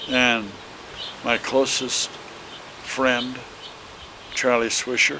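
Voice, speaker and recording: Very slow speech with long, frequent pauses amid noticeable background noise. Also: man, medium pitch for a man. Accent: Midwestern US. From Illinois. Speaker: elderly relative interviewed. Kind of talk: family reminiscence interview. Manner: halting.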